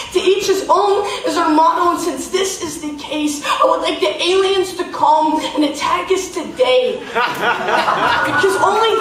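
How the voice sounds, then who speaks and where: A woman with an extremely high pitch speaks at a fairly slow pace with hardly any pauses over noticeable background noise. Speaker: slam poet. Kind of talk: live slam poetry performance. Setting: live on stage in a theater.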